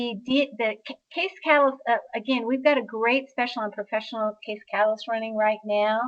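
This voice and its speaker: With an unremarkable speaking voice, a woman talks at a moderate pace in a fairly high pitch with fairly even intonation. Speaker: sales representative for steno products. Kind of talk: product presentation. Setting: online webinar.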